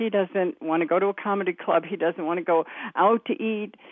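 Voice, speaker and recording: A woman with an American accent speaks at a moderate pace and medium pitch. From US Midwest. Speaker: caller. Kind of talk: casual chat. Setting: phone call.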